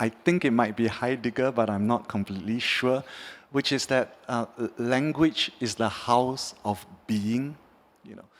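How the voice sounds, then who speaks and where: At a moderate pace, a man speaks at a medium pitch with a Mandarin accent. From Singapore. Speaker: artist. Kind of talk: panel discussion. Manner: halting, with delays.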